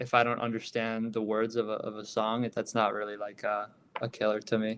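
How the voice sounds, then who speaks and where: Speaking at a moderate pace, a man with an American accent keeps a medium pitch and fairly even intonation. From US Midwest, Chicago. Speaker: DJ and music producer. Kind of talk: podcast interview. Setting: remote call from bedroom. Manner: hesitant, many fillers.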